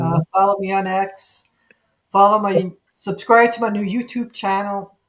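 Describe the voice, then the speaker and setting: A woman with a New York accent, medium pitch and monotone, flat intonation. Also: moderate pace. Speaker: livestream talk show host. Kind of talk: casual chat.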